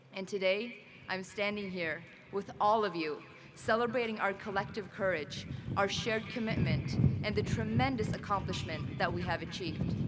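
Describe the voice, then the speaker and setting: A woman's medium-pitched voice at a moderate pace, lively in intonation, with audible room echo and noticeable background noise. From Sweden. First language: not English. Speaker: graduate student speaker. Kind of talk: commencement speech.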